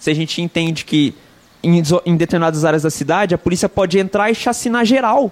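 A man's intonation is lively as he talks fairly quickly. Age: 30s. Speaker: activist and former political candidate. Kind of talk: casual interview, street slang.

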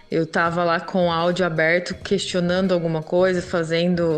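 This woman's voice sits at a fairly low pitch. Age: 30s. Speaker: single mother and pedagogy student. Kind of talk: casual interview testimony.

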